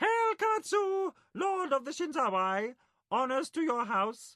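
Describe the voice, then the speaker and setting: Using a put-on character voice, a man talks at a fairly slow pace in an extremely high pitch with very wide pitch swings. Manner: formal, saluting.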